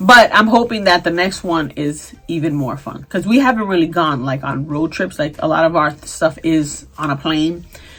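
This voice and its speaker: A woman with a fairly low pitch speaks at a moderate pace with lively intonation and hardly any pauses. Noticeable background noise runs underneath. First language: Spanish. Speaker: beauty and fashion vlogger. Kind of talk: casual vlog chat.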